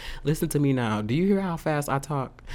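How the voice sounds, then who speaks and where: A man with a fairly high pitch, an animated tone, and lively intonation. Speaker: podcaster. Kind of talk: casual rant. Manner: fast talker; animated, profane.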